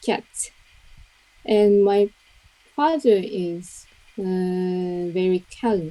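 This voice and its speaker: With a Japanese accent, a woman speaks at medium pitch in a dark, mellow tone. Her pitch varies in an ordinary way, and she leaves long, frequent pauses. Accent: Japanese, soft-edged words. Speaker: English learner. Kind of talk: mock speaking test. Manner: halting.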